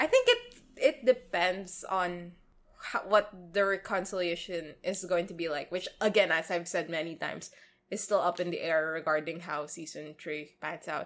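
In a quiet background, a woman with a Filipino accent talks at a moderate pace and a fairly low pitch, with ordinary pitch variation and big swings in loudness. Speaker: podcast co-host. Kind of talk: casual chat.

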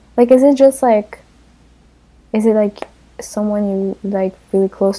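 Her tone dark and mellow, a woman with a non-native accent speaks at a fairly high pitch with ordinary pitch variation. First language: not English. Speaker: podcast co-host. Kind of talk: casual chat.

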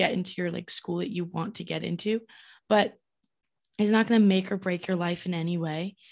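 An unremarkable speaking voice from a woman, medium in pitch, at a fairly quick pace with fairly even intonation over a quiet background. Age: 20s. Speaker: podcast co-host. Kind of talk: casual chat.

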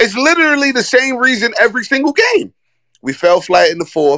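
A man speaks in a raised, projected voice, high-pitched and bright and sharp, at a fairly quick pace with very wide pitch swings. The sound is dry and close with no echo, and his tone is animated. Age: 30s. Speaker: podcast host. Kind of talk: casual chat.

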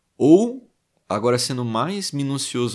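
Very clean recording, silent background, and a man talking at a medium pitch. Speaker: podcast host reading a book aloud. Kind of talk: reading aloud with commentary. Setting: livestream on Instagram. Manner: hesitant, many fillers.

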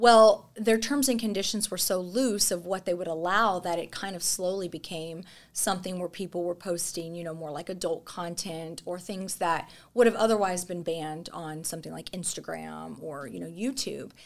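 A woman with a normal speaking voice talks at a moderate pace, with hardly any pauses. Her pitch is fairly low with ordinary variation, and the recording is very clean with a silent background. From Texas. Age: 30s. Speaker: content creator and former ICU nurse. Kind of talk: casual chat.

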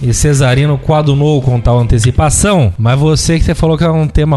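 Over noticeable background noise, a man at medium pitch talks fairly quickly with ordinary pitch variation. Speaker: podcast host. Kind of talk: casual chat. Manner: animated.

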